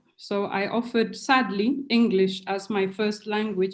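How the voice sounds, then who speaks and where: A woman with a Kenyan accent speaks at a moderate pace in a fairly high, somewhat breathy voice. Her intonation stays fairly even. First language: Kikuyu. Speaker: professor. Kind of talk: academic webinar talk. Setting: video call.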